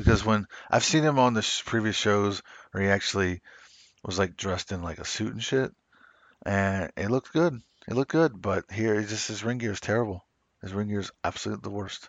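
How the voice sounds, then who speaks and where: A normal speaking voice from a man with an American accent, fairly low in pitch, at a fairly quick pace with ordinary pitch variation. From US South. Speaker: wrestling podcast host. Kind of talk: casual chat.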